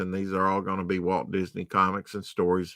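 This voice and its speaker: Against a quiet background, a man with a very deep, low pitch and a bright, sharp tone speaks in a dry sound with no echo. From US South. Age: 50s. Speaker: comic book collector streamer; comic collector streamer. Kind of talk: live stream show-and-tell. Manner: casual, halting with fillers. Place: home room. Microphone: webcam.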